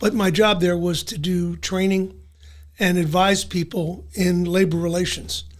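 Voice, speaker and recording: This man speaks at a high pitch in a Philadelphia accent. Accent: Philadelphia-area American. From South Jersey, US. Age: 70s. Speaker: retired civil servant. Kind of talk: interview. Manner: halting.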